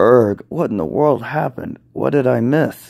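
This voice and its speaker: Using a put-on character voice, a man sounds raspy at a medium pitch and a moderate pace. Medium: read story. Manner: exasperated, snappy.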